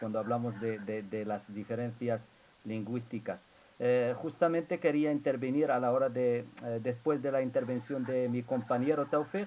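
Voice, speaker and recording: At a moderate pace, a man with an Arabic accent speaks at a medium pitch with ordinary pitch variation. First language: Arabic (speaking Spanish). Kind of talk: academic Q&A in a seminar. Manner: halting, many fillers and repetitions.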